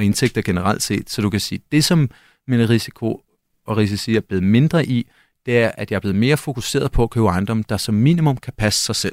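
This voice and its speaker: A man at a medium pitch and fairly quick pace with ordinary pitch variation, in a dry, close sound with no echo on a very clean recording with a silent background. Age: 30s. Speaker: property investor. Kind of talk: interview. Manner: halting, many fillers.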